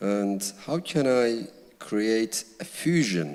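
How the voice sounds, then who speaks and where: A man with a Kurdish-Turkish accent and very wide pitch swings. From Kurdish village in Turkey. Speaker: novelist. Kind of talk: literary Q&A on stage.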